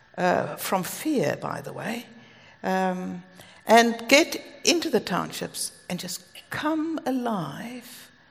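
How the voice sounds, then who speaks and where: Speaking in a South African accent, the voice has lively intonation. The pace is very slow. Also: woman. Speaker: preacher. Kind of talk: sermon. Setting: stage with audience.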